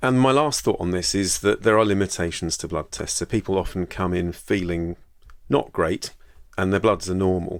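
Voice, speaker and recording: A man's very deep, low voice in a British accent, fairly quick in pace with ordinary pitch variation, on a very clean recording with a silent background. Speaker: GP and podcast host. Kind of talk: solo educational podcast. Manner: fast; casual, hesitant repetitions.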